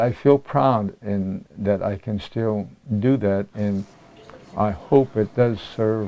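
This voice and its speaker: A man's fairly low-pitched voice. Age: 80s+. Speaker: senior athlete, weightlifter. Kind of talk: interview answer.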